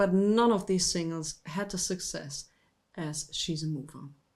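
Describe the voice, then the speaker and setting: Recorded very cleanly over a silent background, a woman speaks at a medium pitch. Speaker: music show host, vinyl record presenter. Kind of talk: casual music history talk to camera. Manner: warm, friendly.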